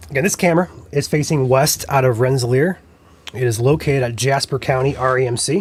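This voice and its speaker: A man talks at a very fast pace in a somewhat breathy, medium-pitched voice with ordinary pitch variation. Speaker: weather livestream host. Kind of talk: live weather commentary.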